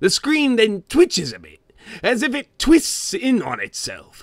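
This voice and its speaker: Using a put-on character voice, a man speaks at a fairly slow pace. The recording is very clean, with a silent background. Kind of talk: dramatic creepypasta reading in character. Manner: gruff, comic storytelling.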